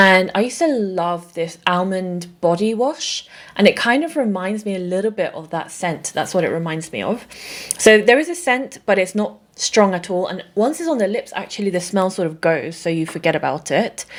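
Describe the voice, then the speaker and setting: A woman speaks with a British accent. Her pitch is medium and her pace is moderate. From England. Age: 30s. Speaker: beauty content creator. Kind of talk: casual talk to camera.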